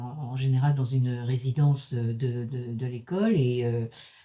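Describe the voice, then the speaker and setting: A woman speaks in a very deep, low pitch with a dark, mellow tone. Her voice is somewhat breathy, with ordinary pitch variation. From Paris, France. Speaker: professor. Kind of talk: lecture. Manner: halting, many hesitations.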